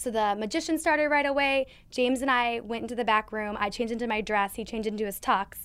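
Someone with an American accent speaks at a very fast pace with an animated tone, ordinary pitch variation and hardly any pauses. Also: woman, fairly high pitch for a woman. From Minnesota, US. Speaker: marketing consultant, athlete's wife. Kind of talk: casual interview chat. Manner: talkative.

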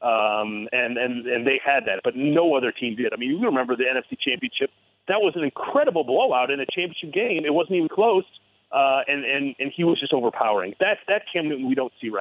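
With a plain, everyday voice and an American accent, a man speaks at a fairly quick pace, his fairly high pitch carrying lively intonation. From Michigan, Ann Arbor. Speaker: sports journalist. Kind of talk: sports talk interview.

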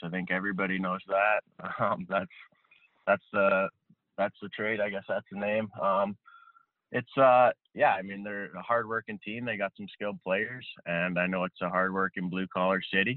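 A man at a low pitch with fairly even intonation and a moderate pace, in a dry, close sound with no echo.

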